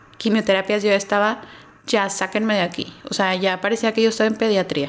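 Noticeable background noise is present. A woman speaks at a fairly high pitch with fairly even intonation. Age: 30s. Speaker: marketing professional, cancer survivor. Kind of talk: testimony.

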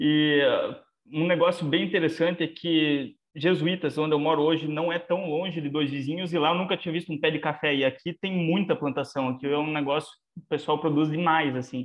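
His intonation stays fairly even. The man talks at a fairly quick pace. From southwestern Paraná, Brazil. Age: 20s. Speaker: animal scientist. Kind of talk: casual interview.

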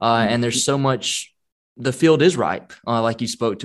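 Over a quiet background, a man with a normal speaking voice talks at a moderate pace and medium pitch. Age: 30s. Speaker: podcast host. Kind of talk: casual interview.

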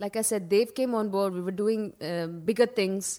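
In a Karnataka accent, a woman with fairly high pitch speaks at a moderate pace on a very clean recording with a silent background. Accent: Indian English (Kannada region). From India, Karnataka (Mysore/Bangalore). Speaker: radiologist and fitness instructor. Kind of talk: casual interview chat.

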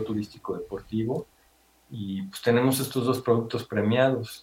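A man speaks in a normal speaking voice at a moderate pace. His intonation stays fairly even. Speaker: paragliding instructor and business owner. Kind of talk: interview.

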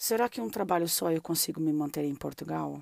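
On a very clean recording with a silent background, a woman speaks at a fairly slow pace. Her pitch is very deep and low. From southern Brazil (Londrina, Paraná; early years São Paulo). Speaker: podcast host. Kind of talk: casual interview chat. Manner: animated.

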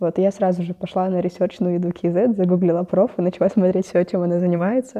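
A woman at a medium pitch, talking very fast with fairly even intonation and hardly any pauses. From Kazakhstan, Ust-Kamenogorsk. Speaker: biology student. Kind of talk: casual interview.

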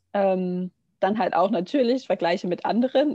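Here a woman talks in a normal speaking voice. She has a medium pitch and ordinary pitch variation. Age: 20s. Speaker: yoga teacher and nursery educator. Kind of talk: casual podcast interview.

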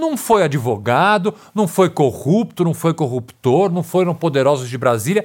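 A plain, everyday voice moves at a fairly slow pace with lively intonation and hardly any pauses. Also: man, fairly high pitch for a man. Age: 40s. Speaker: criminal defense lawyer. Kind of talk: interview conversation.

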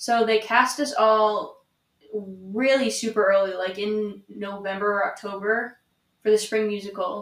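Speaking at a fairly slow pace, a woman uses a plain, everyday voice with a fairly high pitch and fairly even intonation. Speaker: theater student. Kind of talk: casual chat.

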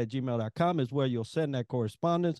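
A man with a normal speaking voice talks at a fairly high pitch with ordinary pitch variation against a quiet background. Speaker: podcast co-host. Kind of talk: interview.

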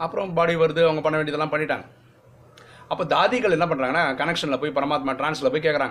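This man has an ordinary speaking voice with a fairly high pitch. His pitch variation is ordinary. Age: 40s. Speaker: spiritual teacher. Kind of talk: religious teaching talk. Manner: casual, conversational.

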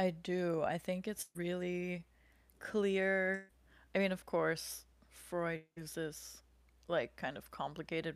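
In a very clean recording with a silent background, a woman with an American accent speaks at a very slow pace, her fairly low voice monotone and flat. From United States. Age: 20s. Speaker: podcast co-host. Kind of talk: casual educational discussion.

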